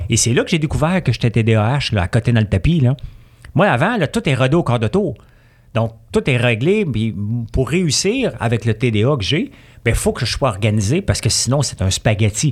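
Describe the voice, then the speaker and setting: Lively intonation and very even loudness carry a man's somewhat breathy voice. He keeps a moderate pace. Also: medium pitch for a man. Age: 50s. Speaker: entrepreneur. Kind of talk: casual chat.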